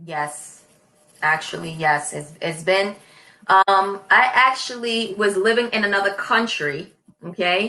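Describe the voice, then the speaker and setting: Talking in a New York accent, a woman keeps to a fairly slow pace. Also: medium pitch for a woman, ordinary pitch variation. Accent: New York American. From New York City. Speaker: online English tutor. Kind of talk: casual conversation lesson.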